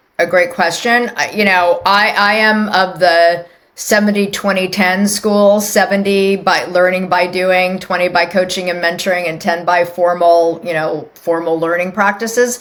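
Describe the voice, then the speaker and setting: A woman's ordinary speaking voice at a medium pitch, fairly slow with hardly any pauses and fairly even intonation. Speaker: HR executive. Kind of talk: interview.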